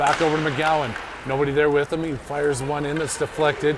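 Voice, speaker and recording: An animated voice moves at a fairly quick pace against noticeable background noise. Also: man. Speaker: amateur hockey play-by-play commentator. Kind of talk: live commentary. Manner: fast, animated.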